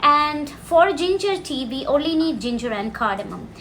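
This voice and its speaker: In a Keralan accent, a woman talks with a bright, sharp tone amid audible room echo. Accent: Indian (Malayali) English. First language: Malayalam. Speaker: cooking and language teacher. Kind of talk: cooking tutorial. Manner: casual, explanatory.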